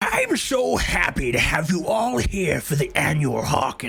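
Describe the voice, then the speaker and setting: A man puts on a character voice with a fairly high pitch and speaks at a moderate pace. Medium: actual play. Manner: theatrical, grandiose.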